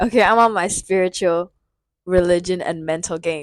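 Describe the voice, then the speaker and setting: A woman with an American accent at medium pitch, moderate pace and fairly even intonation, in a dry, close sound with no echo and a very clean recording over a silent background. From US South. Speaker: spiritual vlogger. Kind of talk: casual monologue. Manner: soft-spoken; rambling, halting.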